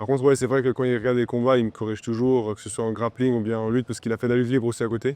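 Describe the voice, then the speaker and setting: Delivered in a dark, mellow tone, the speech runs at a very fast pace with hardly any pauses and monotone, flat intonation. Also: man, medium pitch for a man, dry, close sound with no echo. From Switzerland, Romont (Fribourg). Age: 20s. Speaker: MMA fighter. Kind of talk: interview. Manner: halting, many fillers.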